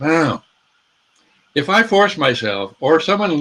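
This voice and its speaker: Here a man speaks at a fairly slow pace. His tone is bright and sharp. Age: 80s+. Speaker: social change nonprofit leader, former Senate staffer. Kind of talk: interview conversation. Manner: halting, many repetitions.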